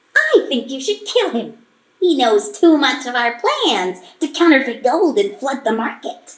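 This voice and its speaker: A put-on character voice that sounds female, pitched high for a woman and delivered at a moderate pace. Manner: scheming, ruthless.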